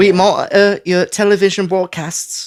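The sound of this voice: At a moderate pace and middle pitch, this put-on character voice in a British accent sounds raspy and squeaky.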